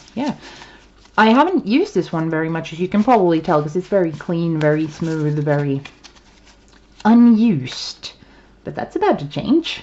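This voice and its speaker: Over noticeable background noise, a woman speaks with a Swedish accent and lively intonation. Her fairly low voice is broken by long, frequent pauses. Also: moderate pace. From Sweden. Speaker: tarot reader. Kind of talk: casual chat. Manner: halting. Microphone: poor sound quality.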